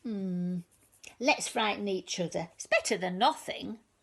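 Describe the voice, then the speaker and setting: A woman uses a put-on character voice. Her pitch sits at a medium level. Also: moderate pace. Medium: read story.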